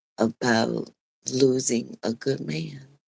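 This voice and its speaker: The speech comes at a very slow pace, with a dry, close sound and no echo. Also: woman. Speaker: preacher. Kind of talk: casual vlog-style sermon.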